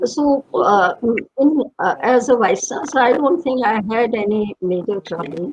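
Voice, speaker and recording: Her pitch swinging very widely, a woman speaks at a very slow pace. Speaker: retired professor and former vice chancellor. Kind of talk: reminiscing interview. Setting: online panel, streamed live. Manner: halting, many fillers.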